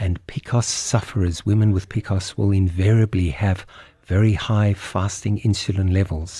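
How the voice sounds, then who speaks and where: Very deep, low pitch from a man, somewhat breathy, dark and mellow, with fairly even intonation against a quiet background. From South Africa. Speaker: doctor. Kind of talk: explanatory interview. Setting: studio.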